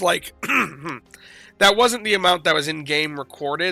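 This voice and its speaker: A man is speaking. Music plays in the background. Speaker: gaming YouTuber. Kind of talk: casual vlog commentary. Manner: halting, filler-heavy.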